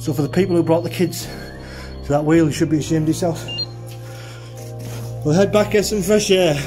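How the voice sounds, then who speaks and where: A man talks with ordinary pitch variation while clear music plays behind him. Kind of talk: commentary. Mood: concerned, warning. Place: tunnel cave. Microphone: phone near.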